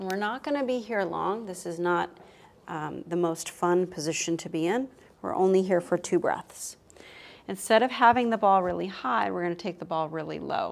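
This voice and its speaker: This woman has an American accent and a medium pitch. Her tone is calm and her pace moderate. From Texas, Austin; Texas. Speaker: yoga teacher. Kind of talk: guided yoga class. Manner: calm, instructive. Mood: calm, soothing. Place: home room.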